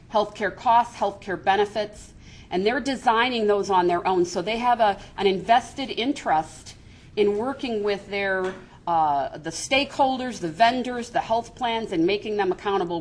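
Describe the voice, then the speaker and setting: A woman with an American accent has an unremarkable speaking voice at medium pitch. She keeps a moderate pace and lively intonation. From Chicago, US Midwest. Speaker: business coalition executive. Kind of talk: seminar presentation.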